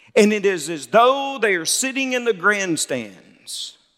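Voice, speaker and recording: A man with a Southern US accent talks at a very slow pace in a bright, sharp tone with lively intonation. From Mississippi. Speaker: Baptist pastor, convention president. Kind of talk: sermon.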